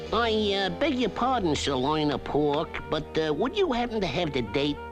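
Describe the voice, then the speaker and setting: A cartoonish character voice at a middle pitch plays over loud music in the background. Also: moderate pace. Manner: laid-back, wisecracking.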